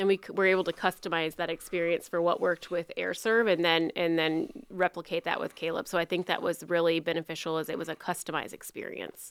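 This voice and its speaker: Speaking very fast with hardly any pauses, a woman with an American accent holds a fairly low pitch and a monotone, flat intonation on a very clean recording with a silent background. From Iowa, US Midwest. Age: 30s. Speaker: nonprofit education program director. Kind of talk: interview. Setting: studio.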